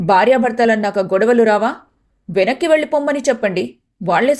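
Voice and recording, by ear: The reading aloud is done in a natural voice, with a quiet background.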